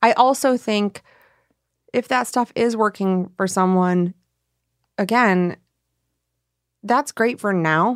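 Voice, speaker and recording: In a very clean recording with a silent background and a dry, close sound with no echo, a woman with an American accent speaks at a very slow pace and medium pitch, using ordinary pitch variation and long, frequent pauses. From Michigan. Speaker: podcast host, reporter. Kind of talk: documentary narration mixed with casual conversation.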